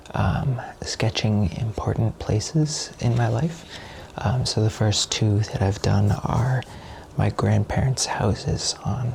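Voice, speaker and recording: Over noticeable background noise, a man talks at a fairly slow pace, his fairly low pitch showing ordinary variation. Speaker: ASMR artist. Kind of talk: soft-spoken ASMR sketching talk. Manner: soft-spoken, hesitant.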